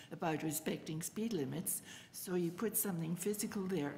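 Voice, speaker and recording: A woman speaks at a moderate pace in a somewhat breathy, dark, mellow tone. Her pitch sits in the medium range with ordinary variation. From Germany. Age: 80s+. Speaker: retired city councillor. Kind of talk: public committee deputation. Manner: animated.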